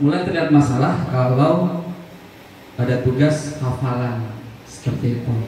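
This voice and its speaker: There is audible room echo and noticeable background noise as a man talks at a medium pitch. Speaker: Islamic religion teacher. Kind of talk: staff meeting presentation.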